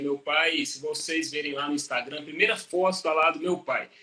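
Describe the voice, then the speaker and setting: Noticeable background noise behind a man's high-pitched voice at a moderate pace, with ordinary pitch variation. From Brazil, interior of Minas Gerais. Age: 40s. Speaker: agronomist and professor. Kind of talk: interview on a live stream. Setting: live stream. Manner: conversational, with hesitations and fillers.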